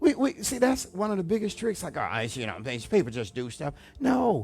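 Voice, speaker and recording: With music in the background, a man speaks at a fairly quick pace, his pitch swinging very widely. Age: 60s. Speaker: pastor. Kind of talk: sermon. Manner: animated.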